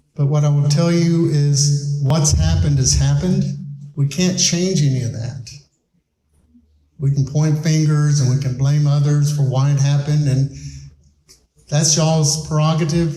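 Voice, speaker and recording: The speech has fairly even intonation and long, frequent pauses. Audible room echo surrounds it. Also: man, fairly high pitch for a man, moderate pace. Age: 60s. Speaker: school superintendent. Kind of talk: public presentation. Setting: town hall meeting with audience. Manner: blunt, plain-spoken.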